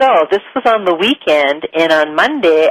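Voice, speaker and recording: A woman with a Midwestern US accent and a fairly low pitch talks at a moderate pace with lively intonation. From US Midwest. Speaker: spiritual teacher and show host. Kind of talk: talk-show monologue. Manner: conversational, with filler words.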